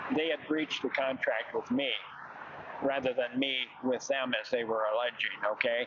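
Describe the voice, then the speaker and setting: Over noticeable background noise, a man talks at a moderate pace in a medium pitch with monotone, flat intonation. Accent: American. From Illinois, Chicago area. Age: 70s. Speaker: protester. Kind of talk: interview. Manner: halting, many fillers.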